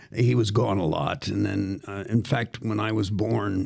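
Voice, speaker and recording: In an American accent, a man speaks at a fairly slow pace with a fairly low pitch and ordinary pitch variation. Noticeable background noise runs under his voice. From US Northeast, Philadelphia. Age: 70s. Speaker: actor and professor. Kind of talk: casual interview storytelling. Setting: podcast studio. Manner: animated.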